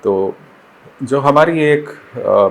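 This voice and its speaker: A man speaks with a Bengali accent. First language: Bengali (speaking Hindi). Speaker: poet and educator. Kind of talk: interview. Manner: formal; hesitant, with fillers.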